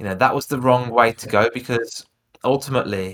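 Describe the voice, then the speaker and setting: Speaking at a fairly quick pace with a Birmingham accent, a man uses a bright, sharp tone at medium pitch with fairly even intonation, recorded very cleanly against a silent background. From Birmingham, England. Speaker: speaking coach. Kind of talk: podcast interview.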